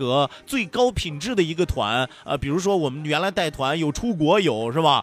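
The tone is animated as a man talks. Lively intonation runs through his speech. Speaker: radio host. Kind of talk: radio talk show, reading listener messages. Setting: radio studio. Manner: animated, joking.

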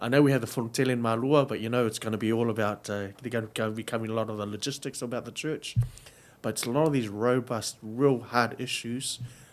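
The man here speaks at a medium pitch with fairly even intonation. His pace is very fast. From New Zealand, West Auckland, Samoan family. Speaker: theology lecturer. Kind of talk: interview.

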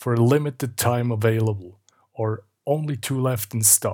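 A man speaks with a Swiss German accent at a medium pitch, his voice somewhat breathy. The recording is very clean, with a silent background. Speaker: podcast host, marketing. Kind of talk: solo podcast monologue, explainer.

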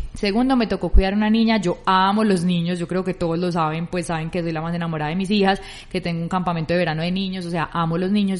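Against a quiet background, a woman with an ordinary speaking voice talks at a fairly quick pace, her medium pitch held in fairly even intonation. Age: 30s. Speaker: podcast co-host. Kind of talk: casual chat.

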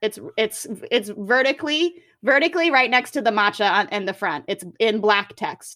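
In a very clean recording with a silent background, a woman with a bright, sharp tone and a fairly high pitch speaks at a moderate pace with lively intonation. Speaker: podcast host. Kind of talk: casual chat.

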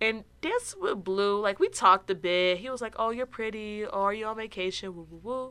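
The tone is bright, sharp and animated, with ordinary pitch variation, on a very clean recording with a silent background. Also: woman. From Chicago area, US. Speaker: podcast host and comedian. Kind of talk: casual storytelling monologue.

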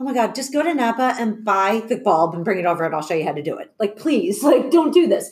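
A woman races along at a very fast pace with hardly any pauses, her fairly high voice somewhat breathy. Her pitch swings very widely. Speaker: divorced single mother working in pharmaceutical product development. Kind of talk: casual panel discussion.

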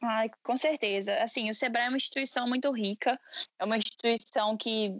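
A woman's ordinary speaking voice, fairly high in pitch, at a moderate pace. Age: 20s. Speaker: entrepreneur, founder of a women's career initiative. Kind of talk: podcast interview.

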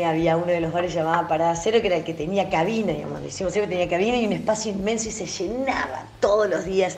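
Noticeable background noise and audible room echo surround a woman with a fairly low pitch and ordinary pitch variation. She talks at a very fast pace with hardly any pauses. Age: 40s. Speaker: radio presenter. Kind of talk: recorded voice message.

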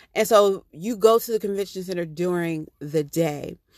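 An animated woman at a fairly slow pace, in dry, close sound with no echo. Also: very clean recording, silent background. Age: 30s. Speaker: podcast host. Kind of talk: casual solo monologue.

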